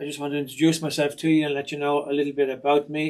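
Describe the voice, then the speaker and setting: Over a very clean recording with a silent background, a man with a fairly high voice speaks with an Irish accent. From Ireland. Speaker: retired soldier and sewing machine technician. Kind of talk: casual self-introduction. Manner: hesitant, with fillers.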